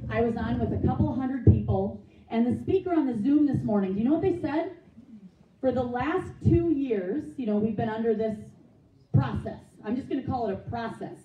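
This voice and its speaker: Someone talks at a fairly quick pace with a Minnesota accent and an animated tone, the pitch swinging very widely. Audible room echo is present. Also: woman, fairly high pitch for a woman. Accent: Upper Midwest (Minnesota). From Minnesota, South Saint Paul. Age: 50s. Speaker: political candidate. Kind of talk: campaign speech. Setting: meeting with live audience.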